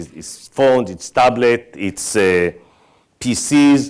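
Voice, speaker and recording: A man speaks with an Israeli accent. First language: Hebrew. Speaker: tech company executive. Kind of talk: conference keynote talk.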